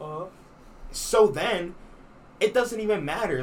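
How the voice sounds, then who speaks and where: A man speaks with audible room echo. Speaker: podcast co-host. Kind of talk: casual chat. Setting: small room with window open.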